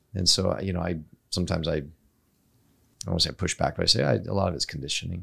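A man's very deep, low voice, bright and sharp in tone with vocal fry, at a very fast pace with long, frequent pauses and ordinary pitch variation. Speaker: podcast host. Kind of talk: casual interview conversation.

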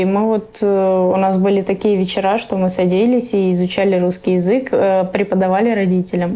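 A woman at a moderate pace and medium pitch, fairly even in intonation, with noticeable background noise. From Russia, raised by Afghan refugee parents. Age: 20s. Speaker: refugee. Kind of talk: interview.

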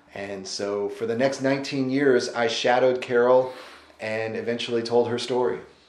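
A man speaks at medium pitch with an American accent and a monotone, flat intonation. His pace is moderate, and room echo is audible. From Missouri Ozarks. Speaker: author. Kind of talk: interview. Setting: on location in Asheville.

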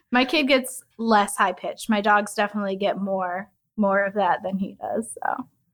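Over background music, a woman of medium pitch speaks at a moderate pace with ordinary pitch variation. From US Midwest, Chicago southwest suburbs. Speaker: flavorist. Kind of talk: interview.

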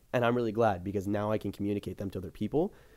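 At a very fast pace, a man is talking. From Florida. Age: young. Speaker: social media content creator. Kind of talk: casual chat.

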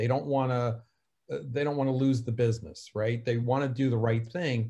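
Somewhat breathy, a man's medium-pitched voice moves at a moderate pace with fairly even intonation. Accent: New Jersey. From New Jersey, US. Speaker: cybersecurity consultant. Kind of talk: casual interview conversation.

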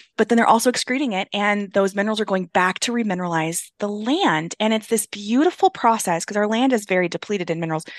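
Very fast and with hardly any pauses, a woman with an American accent speaks at medium pitch in an animated tone with ordinary pitch variation, in a dry, close recording with no echo and a quiet background. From US, farming and ranching family. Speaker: podcast host. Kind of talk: casual interview chat.

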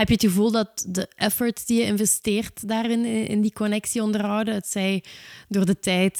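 A woman talks at a moderate pace and medium pitch in an ordinary speaking voice. The sound is dry and close, with no echo. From south of Belgian Limburg. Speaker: podcast host. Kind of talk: interview.

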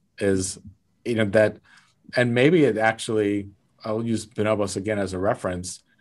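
With an American accent, a man speaks in a fairly low voice at a moderate pace, his intonation fairly even and broken by long, frequent pauses. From South Lake Tahoe, California. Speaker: retail executive and author. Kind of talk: interview.

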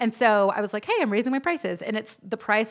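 Talking at a very fast pace with ordinary pitch variation, a woman is heard over noticeable background noise. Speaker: podcast host. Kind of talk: casual chat. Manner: animated.

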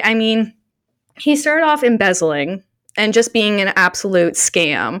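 In a Canadian accent, a woman speaks at a fairly slow pace with very wide pitch swings. The recording is very clean, with a silent background. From Canada. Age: 20s. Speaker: podcast host. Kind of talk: casual chat.

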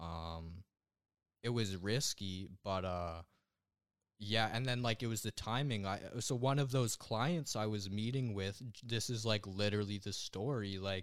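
Here a man speaks with a Western Canadian accent at a fairly low pitch. His pace is fairly slow, with ordinary pitch variation. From western Canada (Alberta, raised in Langley, BC). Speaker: young online entrepreneur, web designer. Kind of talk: casual interview chat.

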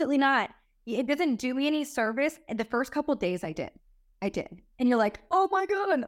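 Animated and high-pitched, a woman talks at a fairly quick pace with very wide pitch swings. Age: 30s. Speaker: chiropractor and reality TV star. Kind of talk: casual chat.

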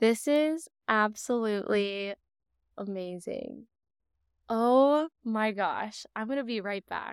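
Over a silent background in a very clean, dry, close recording with no echo, a woman with a fairly high voice speaks very slowly in a calm tone, with ordinary pitch variation and long, frequent pauses. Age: 20s. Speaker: podcast host and psychic medium. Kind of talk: solo podcast monologue. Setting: home living room, rain outside.

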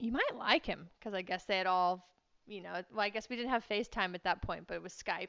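Speaking at a very fast pace, a woman uses a medium pitch with ordinary pitch variation and some vocal fry. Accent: Texan. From Texas. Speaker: event rider and riding instructor. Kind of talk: interview.

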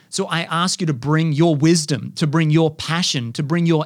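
An animated man with an Australian accent, fairly high in pitch, at a moderate pace, in a very clean recording with a silent background. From Australia, far north Queensland. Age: 30s. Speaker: podcast host. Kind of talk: monologue.

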